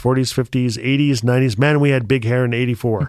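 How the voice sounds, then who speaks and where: This man speaks with a northern Canadian accent. His intonation stays fairly even. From Northwest Territories, northern Canada. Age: 50s. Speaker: writer and storyteller. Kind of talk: casual conversation. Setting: recording studio.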